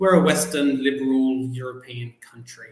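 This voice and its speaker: With an Australian accent and lively intonation, a man speaks at a moderate pace amid noticeable background noise and audible room echo. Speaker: journalist and PhD student. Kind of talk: podcast interview.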